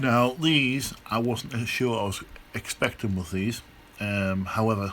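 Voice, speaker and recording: Speaking with a British accent, a man talks at a fairly slow pace in a medium pitch with ordinary pitch variation. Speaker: electronics hobbyist. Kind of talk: casual talk to camera. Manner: hesitant, many fillers.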